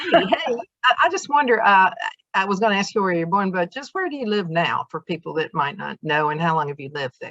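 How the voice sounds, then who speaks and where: Talking at a very fast pace, a woman with a medium pitch shows very wide pitch swings and big swings in loudness, in a dry, close sound with no echo. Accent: Southern US. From US South. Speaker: interviewer. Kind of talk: interview.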